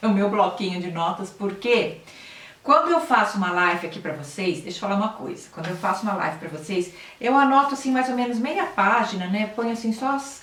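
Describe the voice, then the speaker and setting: A woman with a medium-pitched voice speaks with lively intonation. Audible room echo and noticeable background noise surround her. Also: fairly quick pace. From Brazil, São Paulo city. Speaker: health and nutrition channel host. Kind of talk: live stream talk to viewers, reading comments. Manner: conversational, with hesitations and self-corrections. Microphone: laptop camera, weak audio quality.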